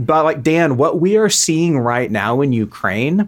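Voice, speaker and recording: A man with a plain, everyday voice and an American accent talks at a moderate pace with ordinary pitch variation. The recording is very clean, with a silent background. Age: 30s. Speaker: foreign policy analyst. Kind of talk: interview.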